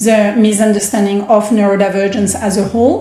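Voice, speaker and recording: A somewhat breathy voice with a dark, mellow tone speaks in a French accent at a moderate pace. Audible room echo surrounds it. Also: woman. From France. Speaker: startup founder. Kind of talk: podcast interview.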